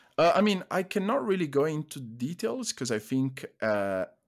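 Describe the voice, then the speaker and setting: A man with an Italian accent at a fairly slow pace, very wide pitch swings, on a very clean recording with a silent background. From Italy. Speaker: sports nutritionist. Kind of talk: casual interview. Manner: hesitant, many fillers.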